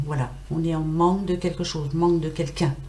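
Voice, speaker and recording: A woman talking at a fairly quick pace amid audible room echo and noticeable background noise. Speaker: tarot card reader. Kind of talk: weekly tarot reading livestream. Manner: animated.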